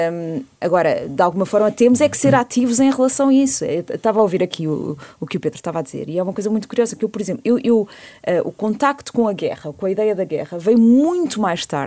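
A woman talks at a very fast pace in a fairly high pitch with very wide pitch swings. Her tone is dark and mellow. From Portugal. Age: 40s. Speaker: debate guest. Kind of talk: radio panel discussion. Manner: halting, many repetitions.

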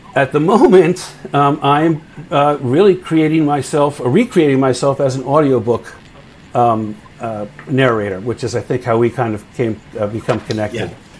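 Noticeable background noise sits behind a man with an American accent who speaks at a moderate pace and medium pitch with lively intonation. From US Northeast (New Jersey / New York area). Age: 60s. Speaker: audiobook narrator and actor. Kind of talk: interview conversation. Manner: hesitant, many fillers.

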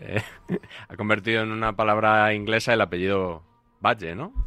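A man with a fairly low pitch, an ordinary speaking voice and fairly even intonation. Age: 40s. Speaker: sports radio commentator. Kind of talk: casual chat.

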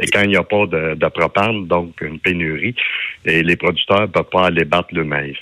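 With fairly even intonation, a man delivers his words at a moderate pace in a very deep, low pitch. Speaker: farmers' union leader. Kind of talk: radio interview. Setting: phone call.

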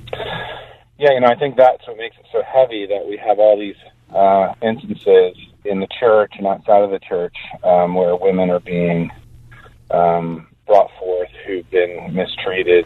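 A man's ordinary speaking voice at a fairly slow pace, with big swings in loudness and ordinary pitch variation. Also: fairly low pitch for a man. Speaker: caller. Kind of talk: call-in radio comment. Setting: phone call.

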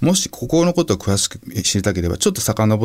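Lively in intonation, a man speaks at a fairly low pitch. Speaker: writer and environmental advocate, former record producer. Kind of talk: interview conversation.

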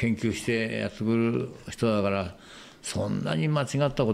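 Medium in pitch and moderate in pace, a man with an unremarkable speaking voice talks with lively intonation. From Japan, Shizuoka. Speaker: wooden model maker. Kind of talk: casual chat.

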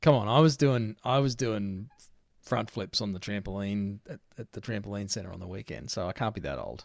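A man with an Australian accent speaks at a fairly quick pace in a fairly low pitch, his loudness swinging widely and his pitch varying in an ordinary way, on a very clean recording with a silent background. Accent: broad Australian twang. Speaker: podcast host, trade business coach. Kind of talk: casual chat.

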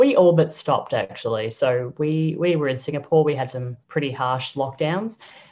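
A woman with an Australian accent and a very deep, low pitch, at a moderate pace with hardly any pauses and ordinary pitch variation. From Australia, Brisbane. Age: 30s. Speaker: sex-positive podcaster. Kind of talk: casual interview.

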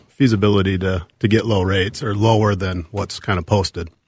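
In a very clean recording with a silent background, a man speaks with a fairly low pitch and a somewhat breathy voice. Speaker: mortgage lender. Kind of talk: radio interview. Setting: radio studio.

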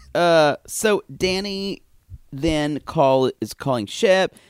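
Very slowly and with lively intonation, a man with a fairly high pitch speaks in a dry, close recording with no echo that is very clean, with a silent background. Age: 40s. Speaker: podcast host. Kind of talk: casual chat, recap banter.

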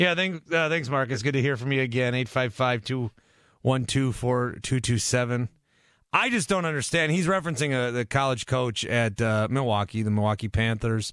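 A man with a plain, everyday voice speaks at a medium pitch with very even loudness. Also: ordinary pitch variation, moderate pace. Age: 30s. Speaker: sports radio host. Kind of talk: call-in sports talk radio.

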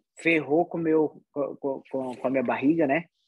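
A man's dark, mellow voice. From Pará, Brazil (Soure, Marajó). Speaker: MMA fighter. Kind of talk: interview.

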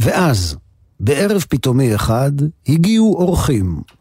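Somewhat breathy, a man speaks with a dark, mellow tone at a fairly slow pace. His pitch swings very widely. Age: 60s. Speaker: radio host. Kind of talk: radio music show narration.

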